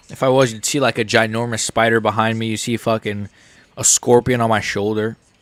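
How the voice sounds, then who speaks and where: Speaking with an American accent, a man with a medium pitch keeps up a fairly quick pace. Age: 30s. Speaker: MMA streamer. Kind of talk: live stream reaction commentary. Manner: casual, rambling with fillers.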